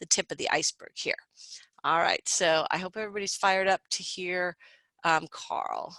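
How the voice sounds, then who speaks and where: In a dry, close sound with no echo, a woman speaks at a fairly quick pace in a bright, sharp tone. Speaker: instructor presenting a recorded interview. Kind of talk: classroom teaching.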